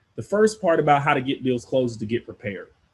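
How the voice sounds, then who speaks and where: Somewhat breathy and with lively intonation, a man is talking. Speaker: podcast host, real estate investor. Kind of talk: instructional podcast monologue. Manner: casual, conversational.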